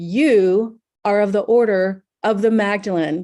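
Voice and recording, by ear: A woman's booming put-on character voice at medium pitch, at a fairly slow pace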